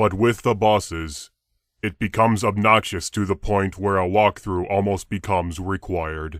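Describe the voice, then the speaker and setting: Putting on a deadpan character voice, a man speaks at a moderate pace in a fairly low pitch on a very clean recording with a silent background. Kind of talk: game review parody. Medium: solo performance. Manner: slow, flat monotone, states emotion before speaking.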